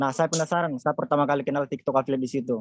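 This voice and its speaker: The man's voice sits at a fairly high pitch, with fairly even intonation. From South Sulawesi, Jeneponto. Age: 20s. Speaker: TikTok affiliate mentor. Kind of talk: webinar presentation. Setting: online webinar.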